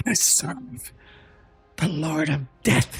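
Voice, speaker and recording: A hoarse, whispering put-on character voice at a fairly slow pace. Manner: whispering, reverent.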